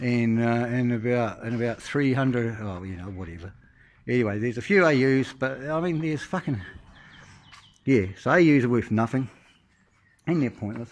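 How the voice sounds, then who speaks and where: The speaker keeps a moderate pace with lively intonation and long, frequent pauses. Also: man, medium pitch for a man. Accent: New Zealand. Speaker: car owner. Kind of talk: casual talk to camera. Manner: rambling, hesitant, profane.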